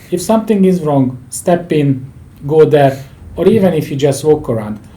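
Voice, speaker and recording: At a moderate pace, a man with a non-native accent speaks in a fairly high pitch with lively intonation. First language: not English. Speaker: leadership and project management expert. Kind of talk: interview conversation.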